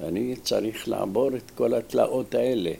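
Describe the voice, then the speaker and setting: This man's voice shows ordinary pitch variation. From Iraq, Baghdad. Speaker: retired railway worker and volunteer. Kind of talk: personal testimony.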